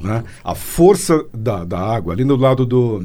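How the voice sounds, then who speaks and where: A man speaks with a dark, mellow tone and some vocal fry. His intonation is lively. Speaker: radio host. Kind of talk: casual interview.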